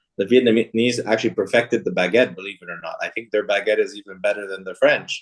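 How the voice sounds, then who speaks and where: A man with an American accent talks very fast, with hardly any pauses. His loudness rises and falls sharply. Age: 30s. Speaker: business executive. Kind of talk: interview.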